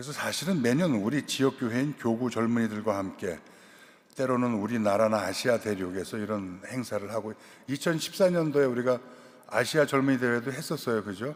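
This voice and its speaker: Here a man has a plain, everyday voice at medium pitch. He talks at a fairly quick pace with ordinary pitch variation. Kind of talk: lecture. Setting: cathedral lecture event.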